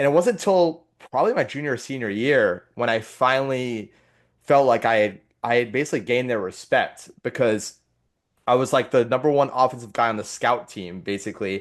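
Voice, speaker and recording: A man's unremarkable speaking voice, medium in pitch, with ordinary pitch variation, a fairly quick pace and a quiet background. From London, England, then Connecticut from about age 12. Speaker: former lacrosse player. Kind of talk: casual podcast conversation.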